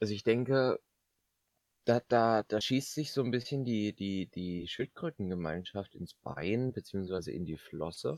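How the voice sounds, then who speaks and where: With a dry, close sound and no echo, a man in an unremarkable speaking voice talks at a fairly slow pace, his fairly low pitch carried by lively intonation. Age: 20s. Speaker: podcast host, business student. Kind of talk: casual comedic chat.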